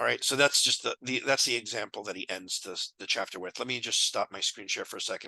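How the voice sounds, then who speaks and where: Talking at a very fast pace, a man hardly pauses at all. The sound is dry and close, with no echo. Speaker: math tutorial youtuber. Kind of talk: casual chat; tutorial. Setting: screen share recording. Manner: halting.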